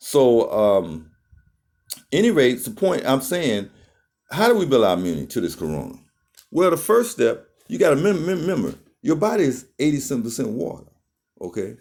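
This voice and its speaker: At a moderate pace, a man with a fairly high pitch and vocal fry speaks with very wide pitch swings and long, frequent pauses. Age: 60s. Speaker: health talk vlogger. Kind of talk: casual monologue. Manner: halting.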